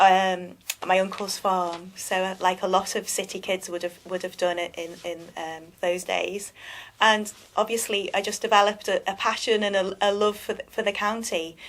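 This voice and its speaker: A woman speaks in a Liverpool accent. Her intonation is monotone and flat. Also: medium pitch for a woman, moderate pace. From England, Liverpool. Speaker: magazine publisher, business owner. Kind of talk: interview. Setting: live web TV studio. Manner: halting.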